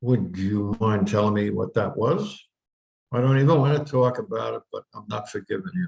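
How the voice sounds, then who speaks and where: The man's voice is medium in pitch and somewhat breathy, with lively intonation. He goes at a moderate pace, and the sound is dry and close with no echo. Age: 80s+. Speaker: minister giving talks. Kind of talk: spiritual talk. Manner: conversational.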